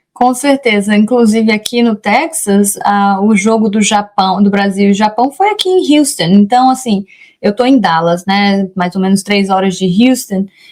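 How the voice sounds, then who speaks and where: At a fairly slow pace, a woman with a medium pitch speaks with very even loudness, ordinary pitch variation and hardly any pauses. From Brazil, Rondônia. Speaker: immigration lawyer. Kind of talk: interview. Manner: halting, with many self-corrections.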